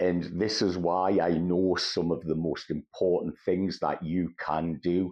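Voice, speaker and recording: Delivery comes at a fairly slow pace with monotone, flat intonation. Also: man. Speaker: mental health vlogger. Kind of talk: personal testimony.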